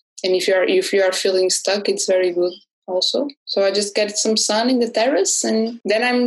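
A woman is talking. Her pitch sits in the medium range. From Portugal. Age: 20s. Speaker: illustrator and graphic designer. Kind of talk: interview.

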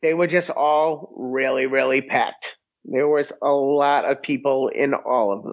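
At a fairly slow pace, a man with an American accent speaks in an unremarkable speaking voice, fairly high in pitch with fairly even intonation. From Massachusetts, near Boston. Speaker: restaurant owner and podcaster. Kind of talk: casual chat.

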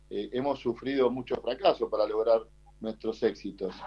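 A man with a plain, everyday voice talks at a medium pitch and a moderate pace. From Argentina, Buenos Aires west (Ciudadela). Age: 40s. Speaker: martial artist and kickboxer. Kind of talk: interview. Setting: remote call.

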